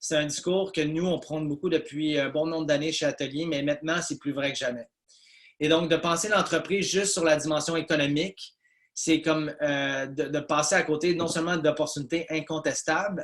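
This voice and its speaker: With monotone, flat intonation, a man speaks in a fairly high pitch. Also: moderate pace. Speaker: business consultant presenter. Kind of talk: webinar presentation. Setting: video call webinar. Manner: hesitant with many fillers.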